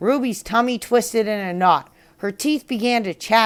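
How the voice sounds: With ordinary pitch variation, this is a natural reading voice.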